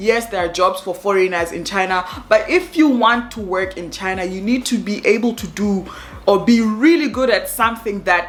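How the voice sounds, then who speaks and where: Noticeable background noise accompanies a woman with an animated tone. Her loudness swings widely while her pitch varies in an ordinary way. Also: medium pitch for a woman, moderate pace. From Africa. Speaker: expat vlogger. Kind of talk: casual vlog talk to camera.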